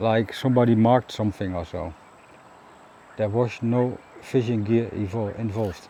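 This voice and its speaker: A man's medium-pitched voice with a Dutch accent, a dark, mellow tone, fairly even intonation, a moderate pace and long, frequent pauses. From Netherlands. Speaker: kayaking vlogger. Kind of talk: casual vlog monologue. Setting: outdoors on a river in a kayak. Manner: halting, many fillers.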